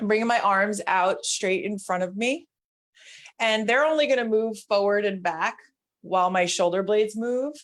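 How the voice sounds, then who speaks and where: A woman talks in a normal speaking voice at medium pitch. Her pitch varies in an ordinary way at a moderate pace. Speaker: mobility instructor. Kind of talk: guided exercise class.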